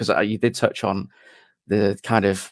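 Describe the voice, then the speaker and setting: An unremarkable speaking voice with fairly even intonation and a quiet background. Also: man. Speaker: interviewer, channel host. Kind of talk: interview questions.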